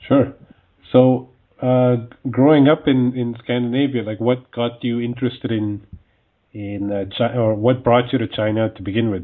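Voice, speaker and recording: An unremarkable speaking voice from a man at medium pitch, moderate in pace, with fairly even intonation. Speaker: podcast host. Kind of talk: interview.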